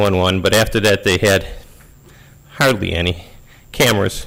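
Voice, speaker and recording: A man talks at a fairly quick pace. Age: 60s. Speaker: resident speaking at public comment. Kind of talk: public comment at board meeting. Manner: halting, many fillers.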